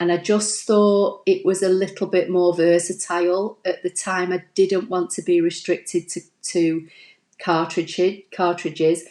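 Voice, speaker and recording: The voice has a dark, mellow tone and monotone, flat intonation. It moves at a fairly slow pace over a quiet background. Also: woman, medium pitch for a woman. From Manchester, northern England. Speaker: crafting YouTuber. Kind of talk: live stream tutorial and viewer chat. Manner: chatty, fillers like um and you know.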